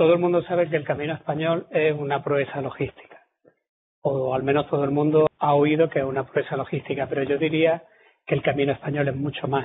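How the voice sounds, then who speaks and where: Speaking fairly quickly in a Córdoba Andalusian accent, a man keeps a fairly high pitch and flat, monotone intonation. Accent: southern Córdoba (Andalusian) Spanish. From southern Córdoba, Andalusia, Spain. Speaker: military historian, lecturer. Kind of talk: lecture. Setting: lecture hall with audience. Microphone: poor-quality audio recording, cleaned up.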